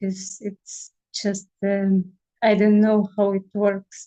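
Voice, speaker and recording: A dark, mellow tone delivered with monotone, flat intonation. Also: woman. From Siberia, Russia. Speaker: family constellation practitioner. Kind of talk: casual chat.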